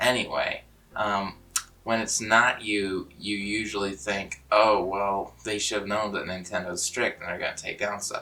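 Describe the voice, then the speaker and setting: With music in the background, a man talks at a fairly low pitch with ordinary pitch variation. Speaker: video creator. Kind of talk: casual vlog monologue. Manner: unscripted, rambling.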